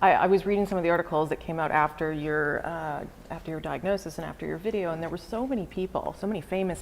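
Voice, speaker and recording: This woman talks at a very fast pace, her pitch fairly low. Her pitch variation is ordinary. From Canada. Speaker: interviewer. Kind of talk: interview.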